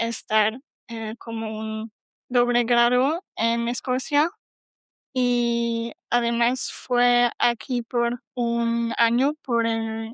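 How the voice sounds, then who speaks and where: This woman speaks very slowly, her fairly high pitch held in a monotone, flat intonation. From Germany. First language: German (speaking Spanish). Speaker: PhD student. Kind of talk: casual chat. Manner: halting, many fillers.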